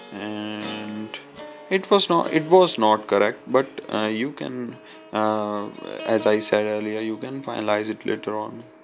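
A fairly low-pitched man with an Indian accent, fairly slow, with big swings in loudness and music in the background. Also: ordinary pitch variation. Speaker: concept artist. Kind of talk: software tutorial narration. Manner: hesitant, many fillers.

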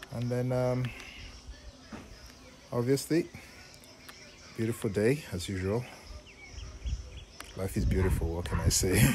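The speech moves at a fairly slow pace with ordinary pitch variation over light background noise. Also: man. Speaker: home cook vlogger. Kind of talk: casual cooking tutorial. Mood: relaxed, upbeat. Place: garden. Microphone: phone near.

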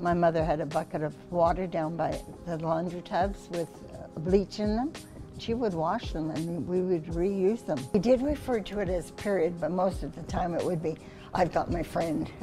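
With clear music playing behind her, a woman talks at a moderate pace in a fairly low pitch, her pitch varying in an ordinary way. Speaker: grandmother sharing memories. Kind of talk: interview answer. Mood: warm, amused, animated.

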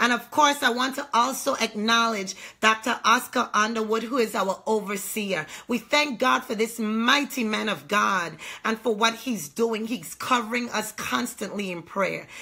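Against a quiet background, a bright, sharp voice moves at a fairly slow pace with ordinary pitch variation. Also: woman. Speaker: online ministry host. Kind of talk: sermon introduction and prayer. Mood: fervent, prayerful. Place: home room. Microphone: phone near.

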